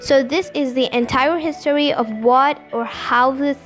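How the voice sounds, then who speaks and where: Faint music plays in the background as a woman speaks in a high pitch at a fairly slow pace. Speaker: vlogger touring exhibit. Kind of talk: casual vlog commentary. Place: hall. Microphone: phone near.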